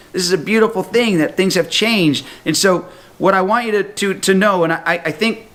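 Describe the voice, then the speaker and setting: Over noticeable background noise, a man with a high voice sounds animated, his pitch varying in an ordinary way. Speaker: health talk presenter. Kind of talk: sales pitch. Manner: fast.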